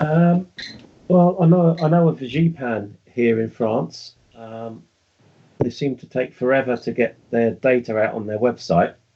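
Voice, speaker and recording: Speaking fairly slowly with a British accent, a man at medium pitch uses lively intonation and big swings in loudness. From United Kingdom. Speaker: UFO researcher. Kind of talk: interview.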